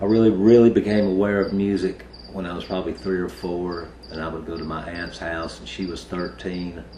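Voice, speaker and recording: A man with a very deep, low voice talks at a fairly quick pace with fairly even intonation and big swings in loudness, amid noticeable background noise and audible room echo. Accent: East Tennessee. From US South, Kingsport, Tennessee. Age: 40s. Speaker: heavy metal bassist. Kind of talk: interview.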